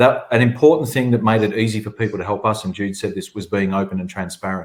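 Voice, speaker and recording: Talking at a fairly quick pace, a man with an Australian accent has a medium pitch. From southern Australia. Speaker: agency chief executive. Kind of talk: webinar panel discussion.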